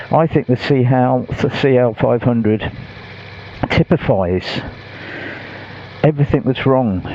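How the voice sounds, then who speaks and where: The speaker talks at a fairly slow pace with lively intonation. Noticeable background noise runs under the voice. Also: man. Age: 60s. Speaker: motorcycle vlogger. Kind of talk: casual vlog talk to camera.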